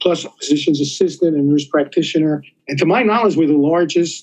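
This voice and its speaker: This speaker talks at a fairly quick pace with a New York accent. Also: man. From New York City. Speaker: surgeon and policy scholar. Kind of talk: interview. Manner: halting, many fillers.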